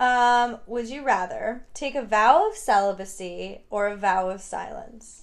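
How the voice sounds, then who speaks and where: In an unremarkable speaking voice, a woman with an American accent talks fairly high and fairly slowly. Her loudness swings widely, while her pitch varies in an ordinary way. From New York, Hudson Valley. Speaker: podcast host. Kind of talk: casual chat.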